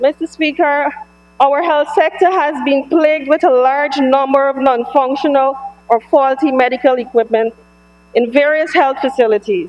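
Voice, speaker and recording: At a moderate pace, a woman with a Guyanese accent speaks at a high pitch, keeping her loudness very even and her pitch variation ordinary. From Guyana. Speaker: government member of parliament. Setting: parliament chamber. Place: hall. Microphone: podium.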